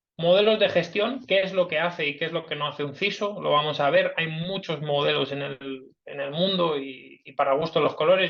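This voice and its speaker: A fairly high-pitched man talks at a moderate pace with ordinary pitch variation. His voice has vocal fry. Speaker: cybersecurity director, invited speaker. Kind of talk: webinar talk. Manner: hesitant, many fillers.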